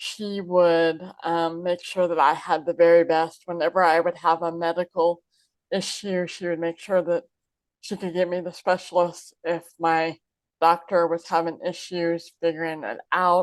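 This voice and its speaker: A woman with an American accent speaks in a fairly low pitch. Her intonation is monotone and flat, and the background is quiet. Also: fairly slow pace. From Southeast Kansas, USA. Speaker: inspirational speaker. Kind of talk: interview answer.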